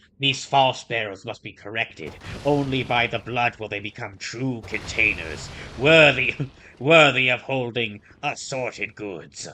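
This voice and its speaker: A man puts on a character voice at a medium pitch and moderate pace. His loudness swings widely from moment to moment. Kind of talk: formal, archaic. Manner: solemn, archaic, ominous.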